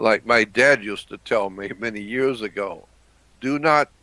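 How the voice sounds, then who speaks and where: A man talks at a medium pitch with ordinary pitch variation and a bright, sharp tone. The recording is very clean, with a silent background. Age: 70s. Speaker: conspiracy analyst. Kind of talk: interview. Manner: halting.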